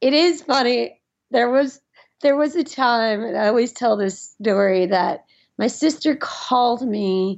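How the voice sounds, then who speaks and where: With an American accent, a woman speaks at a very slow pace with a high pitch and lively intonation. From US South, Nashville, Tennessee. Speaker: musician and lawyer. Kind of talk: casual chat.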